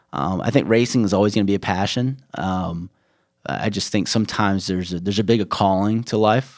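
On a very clean recording with a silent background, a man with an American accent and an unremarkable speaking voice talks fairly quickly at a fairly low pitch with ordinary pitch variation. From US Midwest (Chicago area), then North Carolina from age 15. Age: 20s. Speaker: beverage company founder. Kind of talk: interview.

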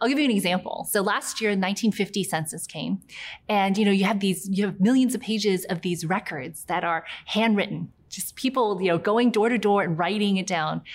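At a moderate pace, a woman with an American accent speaks in a normal speaking voice at a medium pitch with ordinary pitch variation, in a very clean recording with a silent background. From US South, near Charleston, South Carolina. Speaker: tech company CEO. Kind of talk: interview.

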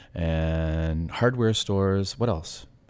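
This man talks with a Canadian Maritime accent. The recording is very clean, with a silent background. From New Brunswick, Canada.

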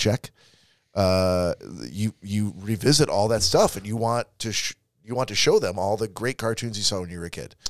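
A man with a plain, everyday voice and fairly low pitch comes through a dry, close sound with no echo in a very clean recording with a silent background. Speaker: podcast host. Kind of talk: casual chat, comedic banter.

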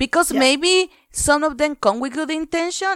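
A woman talks at a fairly quick pace. The recording sounds dry and close, with no echo. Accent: Spanish. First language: Spanish. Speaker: podcast co-host. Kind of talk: casual chat. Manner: halting.

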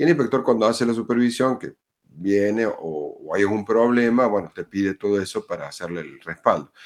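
Speaking at a fairly quick pace in a Cordoban Argentine accent, a man is heard on a very clean recording with a silent background. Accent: Argentine Spanish, Córdoba. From Argentina, Córdoba. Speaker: school principal. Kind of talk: roundtable discussion.

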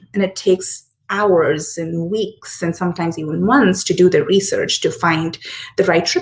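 A woman speaks at a moderate pace with a medium pitch. Her voice is somewhat breathy, with ordinary pitch variation. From India, Hyderabad. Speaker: startup founder. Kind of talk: interview.

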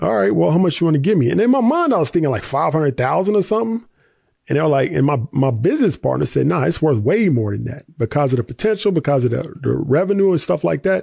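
A man with an American accent, somewhat breathy and fairly high-pitched, speaking at a very fast pace with very wide pitch swings over a quiet background. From US South, Tennessee. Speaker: investor and content creator. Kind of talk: interview. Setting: studio.

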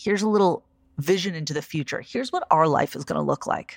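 A woman speaks in a warm, enthusiastic tone with vocal fry. The recording is dry and close with no echo, and the background is silent and very clean. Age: 40s. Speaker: podcast host and life coach. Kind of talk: solo podcast monologue with guided reflection.

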